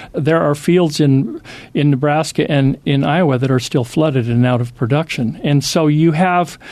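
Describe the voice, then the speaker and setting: With an American accent, a man using a normal speaking voice talks at a moderate pace and fairly high pitch, with ordinary pitch variation and very even loudness. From US Pacific Northwest. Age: 60s. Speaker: former magazine editor, lecturer. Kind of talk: interview.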